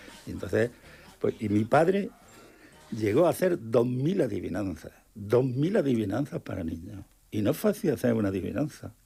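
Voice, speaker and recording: Music plays in the background as a man speaks at a moderate pace. His pitch swings very widely. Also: medium pitch for a man. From Murcia, Spain. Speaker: painter and illustrator. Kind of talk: radio interview answer. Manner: enthusiastic.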